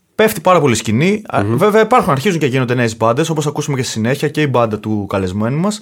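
A man with a Greek accent, fairly high-pitched, very fast, with very wide pitch swings and hardly any pauses. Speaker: podcast host. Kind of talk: casual chat. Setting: studio.

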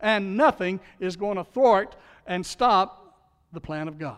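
A man with a Southern US accent speaks at a high pitch. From Louisiana. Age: 60s. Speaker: pastor. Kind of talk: sermon. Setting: church.

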